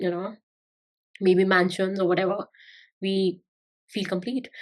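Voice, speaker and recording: A woman speaks at a medium pitch with monotone, flat intonation. The background is quiet. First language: not English. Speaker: spiritual YouTuber. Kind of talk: spiritual talk to camera. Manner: halting, many fillers.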